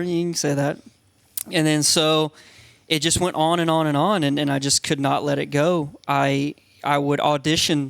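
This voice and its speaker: This man has a fairly high pitch and speaks with an American accent. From US South, Georgia (Eastman). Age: 30s. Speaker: reality TV contestant. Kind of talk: casual chat. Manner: animated.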